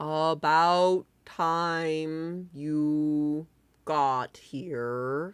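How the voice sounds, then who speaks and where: A put-on character voice at a middle pitch, on a very clean recording with a silent background. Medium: actual play. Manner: dry, deadpan.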